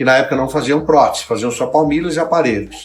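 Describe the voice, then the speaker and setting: A man speaking, with music in the background. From abroad, moved to Brazil. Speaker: orthopedic business owner and interviewer. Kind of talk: interview.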